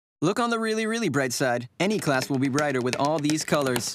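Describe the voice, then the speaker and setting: A man talks at a fairly quick pace in a fairly high pitch, with very wide pitch swings. The dry sound has no echo but carries noticeable background noise. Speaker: voice actor. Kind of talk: TV commercial read. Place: booth. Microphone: studio mic.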